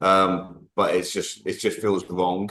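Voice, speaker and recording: In an English accent, a man speaks with a very deep, low pitch. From Greece. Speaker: gym owner. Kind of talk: casual chat.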